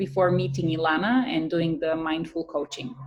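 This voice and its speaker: In a Bulgarian accent, a woman speaks at a fairly low pitch with ordinary variation. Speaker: writer and content creator. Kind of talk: testimonial interview. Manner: hesitant with frequent fillers.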